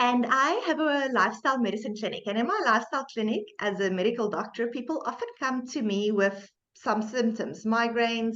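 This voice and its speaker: At a moderate pace, a woman with a South African accent talks at fairly high pitch with ordinary pitch variation. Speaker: medical doctor and podcast host. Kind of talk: podcast interview.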